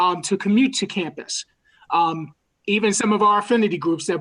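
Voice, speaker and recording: With a New York accent, a woman talks at a very fast pace with ordinary pitch variation. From New York City. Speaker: university student affairs administrator. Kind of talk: virtual town hall presentation. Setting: video call. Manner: halting.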